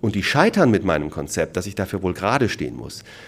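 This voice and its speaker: The man's voice is fairly low in pitch. His intonation is lively. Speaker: franchise consultant. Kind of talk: lecture. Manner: animated.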